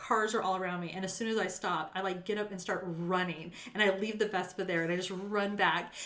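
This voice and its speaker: A woman talks at a fairly quick pace with hardly any pauses, in a Western US accent. Her medium-pitched voice is monotone and flat. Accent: General American (western US). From Las Vegas, Nevada. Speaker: accountant / nonprofit finance executive. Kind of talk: casual chat.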